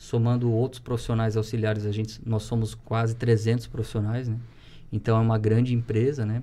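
A man speaks at a medium pitch with a dark, mellow tone. His voice is somewhat breathy and his pace moderate. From Santa Catarina, Brazil (Rio do Sul); Santa Catarina, Brazil. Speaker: teacher and municipal education secretary; podcast guest, teacher. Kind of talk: casual chat. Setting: studio. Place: studio.

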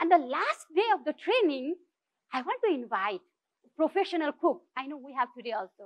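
A woman with a Nepali accent talks at a fairly quick pace in a high pitch, her pitch swinging very widely and her loudness in big swings. The background is quiet. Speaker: social entrepreneur; speaker. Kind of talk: inspirational talk. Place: stage.

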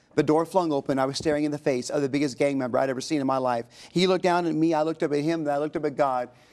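Against a quiet background, a man with a fairly high pitch talks very fast with fairly even intonation and hardly any pauses. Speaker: pastor and author. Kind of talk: interview testimony. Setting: TV studio. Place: studio. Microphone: lapel.

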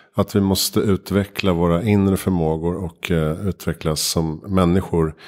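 Very deep and low, the man's voice stays monotone and flat, with very even loudness at a moderate pace. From Sweden, Vattholma (Uppsala area). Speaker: podcast host. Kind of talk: interview conversation; scripted show intro and outro. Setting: home kitchen studio. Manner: hesitant with many fillers.

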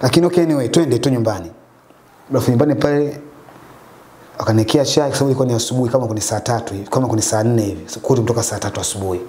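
A man at a very fast pace broken by long, frequent pauses, with ordinary pitch variation. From Dar es Salaam, Tanzania. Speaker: taxi driver; guest. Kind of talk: testimony. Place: home room. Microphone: lapel.

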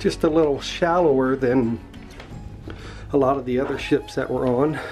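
Speech moves at a moderate pace over faint background music. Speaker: cruise vlogger. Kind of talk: walking tour commentary. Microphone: phone near.

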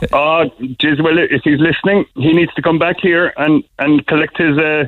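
Using a Cork accent, a man with a fairly high pitch speaks at a moderate pace, his intonation fairly even and his loudness very even. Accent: Cork Irish. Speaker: business owner. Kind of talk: radio phone-in interview answer.

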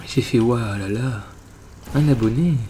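Ordinary pitch variation in a man's speech, set against noticeable background noise. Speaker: gaming youtuber. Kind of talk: let's play commentary. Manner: casual, swears often.

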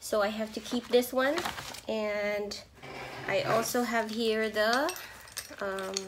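A woman's voice with little pitch movement and audible room echo

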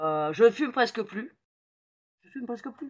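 Speaking at a fairly slow pace, a woman lets her pitch swing very widely. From Paris, France. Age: 50s. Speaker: metahypnosis practitioner. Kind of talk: casual talk to camera. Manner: hesitant, many fillers. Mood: enthusiastic, personal. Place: home room. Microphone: phone near.

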